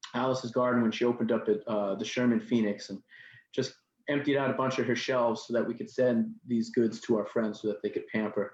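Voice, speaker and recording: The speaker talks very fast with a New York accent. The delivery is monotone and flat. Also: man, medium pitch for a man, quiet background. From New York City, Queens. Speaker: nonprofit executive director and activist. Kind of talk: interview talk.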